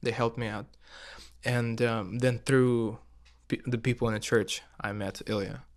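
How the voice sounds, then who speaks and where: A man speaks with a Russian accent at medium pitch and a moderate pace. His intonation is monotone and flat, with long, frequent pauses. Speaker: musician. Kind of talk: casual chat. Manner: halting.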